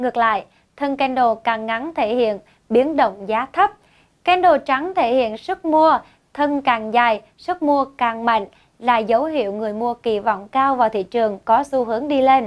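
Against a quiet background, a woman speaks at a moderate pace. Her voice is high-pitched, with ordinary pitch variation. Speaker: forex educator / channel presenter; forex educator, presenter. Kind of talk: tutorial. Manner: formal. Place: studio. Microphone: lapel.

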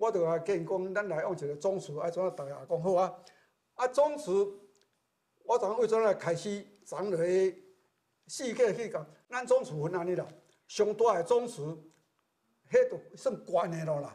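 A man with a Taiwanese accent, high-pitched yet dark and mellow in tone, with lively intonation, a moderate pace and long, frequent pauses against a quiet background. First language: Taiwanese Hokkien (speaking Chinese). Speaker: retired teacher, temple committee member; retired teacher. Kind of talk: interview testimony. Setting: temple. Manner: halting. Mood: warm, earnest. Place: hall. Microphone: lapel.

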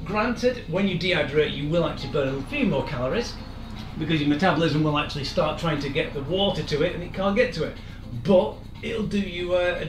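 Faint music plays in the background as a man speaks at a high pitch. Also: ordinary pitch variation. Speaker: fitness instructor. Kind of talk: lecture. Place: kitchen. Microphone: camera far.

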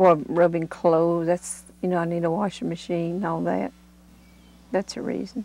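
A woman speaks with an Appalachian accent. Her pitch is fairly low and her pace moderate. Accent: Appalachian Southern US. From US South, Appalachian North Carolina. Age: 60s. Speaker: mountain resident. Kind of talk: interview.

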